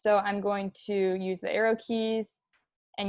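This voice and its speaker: A woman speaks at a moderate pace in a normal speaking voice. Her pitch sits in the medium range. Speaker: animation tutorial instructor. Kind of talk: tutorial.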